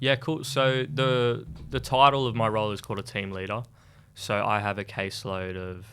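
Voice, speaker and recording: Speaking with an Australian accent, a man uses a medium pitch, moderate pace, and ordinary pitch variation. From Sydney, Australia (western suburbs). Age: 20s. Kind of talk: radio interview. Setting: radio studio.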